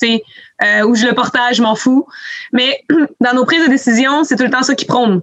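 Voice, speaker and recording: With a high pitch and fairly even intonation, a woman speaks at a moderate pace and very even loudness, pausing often and at length. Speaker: podcast host, ski coordinator. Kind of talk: casual chat.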